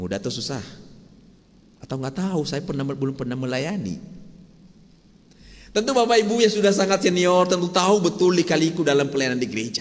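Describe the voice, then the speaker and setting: A man with a Sumatran accent talks at a high pitch and a very fast pace, with lively intonation and long, frequent pauses. Audible room echo surrounds his voice. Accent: Sumatran, still present. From Sumatra, Indonesia. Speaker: pastor. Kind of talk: sermon. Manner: conversational, asks the congregation questions.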